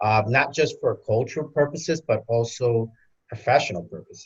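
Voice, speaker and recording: Somewhat breathy, a speaker with an American accent talks at a moderate pace. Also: man, quiet background. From New York, Queens. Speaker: panelist father. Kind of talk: panel discussion.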